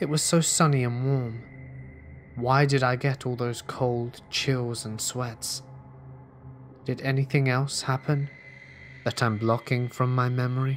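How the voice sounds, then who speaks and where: Over background music, a man with a medium pitch speaks in a flat monotone, pausing long and often. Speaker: horror story narrator. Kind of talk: scripted horror story narration, ghost story telling.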